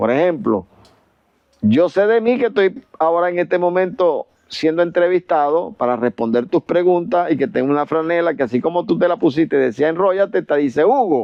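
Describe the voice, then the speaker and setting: A high-pitched man at a moderate pace, lively in intonation, his loudness very even. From Venezuela. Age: 70s. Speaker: retired chemical engineer and professor, author. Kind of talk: podcast interview. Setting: video podcast.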